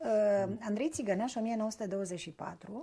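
Her voice is somewhat breathy, and this woman has a dark, mellow tone. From southern Romania (Bucharest). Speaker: interviewer. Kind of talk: interview conversation. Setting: shop. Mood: warm, measured, thoughtful. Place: home room. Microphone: lapel.

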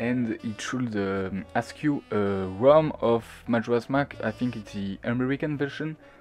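Over music in the background, a man with a non-native accent and medium pitch speaks very slowly with lively intonation. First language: not English. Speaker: gaming tutorial maker. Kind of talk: screen-recorded software tutorial. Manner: hesitant, many fillers.

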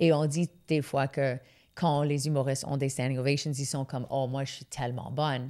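A woman with an English accent speaks at a moderate pace in a very deep, low voice. Her intonation is flat and monotone, and the background is quiet. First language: English (speaking French). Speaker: comedian; comedian guest. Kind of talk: casual interview chat. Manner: halting, frequent fillers and English code-switching. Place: studio. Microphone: studio mic.

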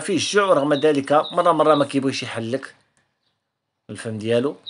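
A man speaking at a moderate pace, his pitch fairly high. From Morocco. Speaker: canary breeder and video creator; video creator. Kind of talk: tutorial. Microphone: phone near.

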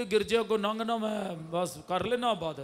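Moving at a very slow pace, a man talks with ordinary pitch variation. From Pakistan. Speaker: pastor. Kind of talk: sermon. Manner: animated, loud. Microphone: handheld.

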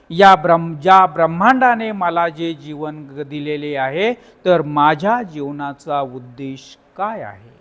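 The man speaks with a high-pitched voice. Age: 50s. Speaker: teacher and YouTuber. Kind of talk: book summary talk.

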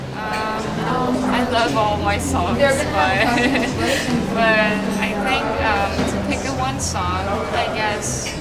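Through loud background noise, a woman talks with long, frequent pauses. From South Korea. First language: Korean. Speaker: singer. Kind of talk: interview answer. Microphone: camera far.

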